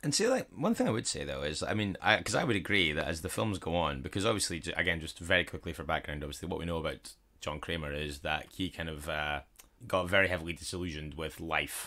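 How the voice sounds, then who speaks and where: A man with a Scottish accent talks very fast in a very deep, low pitch. His tone is bright and sharp, and his intonation fairly even. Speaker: podcast co-host. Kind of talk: casual podcast conversation.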